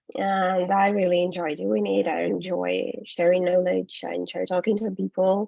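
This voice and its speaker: A woman with a Ukrainian accent keeps a moderate pace with hardly any pauses. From Ukraine. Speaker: English teacher and business trainer. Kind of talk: webinar presentation. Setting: online webinar. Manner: hesitant with frequent fillers.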